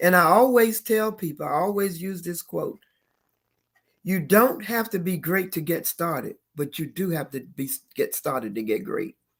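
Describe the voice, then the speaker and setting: A woman with vocal fry speaks at medium pitch and a moderate pace, her voice moving in very wide pitch swings. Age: 70s. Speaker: financial educator. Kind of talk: interview conversation.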